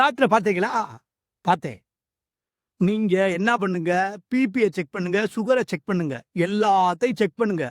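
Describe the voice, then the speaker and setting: A man speaks in an animated tone with a high pitch and ordinary pitch variation, recorded very cleanly against a silent background with a dry, close sound and no echo. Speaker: motivational speaker. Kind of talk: pattimandram speech.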